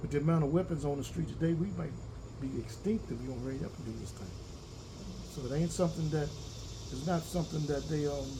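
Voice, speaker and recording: Very fast bursts from a man broken by long, frequent pauses, with audible room echo. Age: 60s. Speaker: farmer. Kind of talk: interview. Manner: halting, repetitive.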